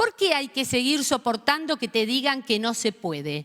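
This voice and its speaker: A woman with a high pitch is heard on a very clean recording with a silent background. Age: 60s. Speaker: panelist at a forum. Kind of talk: forum speech. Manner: animated.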